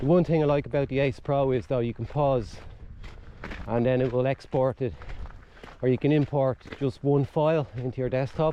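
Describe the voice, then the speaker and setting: An American accent comes through at a moderate pace with long, frequent pauses and fairly even intonation. Noticeable background noise is present. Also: man, medium pitch for a man. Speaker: outdoor vlogger. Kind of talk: casual vlog monologue while hiking. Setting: outdoors on a cliff walk at dusk. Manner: rambling, halting with restarts.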